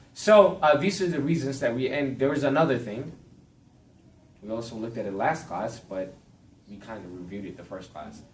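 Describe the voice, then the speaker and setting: A man at a fairly quick pace, with long, frequent pauses, big swings in loudness, very wide pitch swings and audible room echo. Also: medium pitch for a man. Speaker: Bible class teacher. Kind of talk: lecture. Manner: fast.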